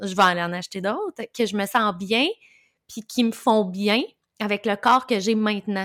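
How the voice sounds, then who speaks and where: A woman speaks at a moderate pace in a medium pitch, her intonation fairly even, on a very clean recording with a silent background. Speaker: podcast host, birth doula. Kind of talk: casual interview chat.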